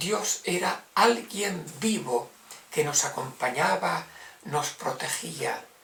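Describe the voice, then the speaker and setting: A man talks at a very slow pace with very wide swings in pitch. There is noticeable noise in the background. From Spain, Navarra. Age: 70s. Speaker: religious brother. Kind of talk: testimony.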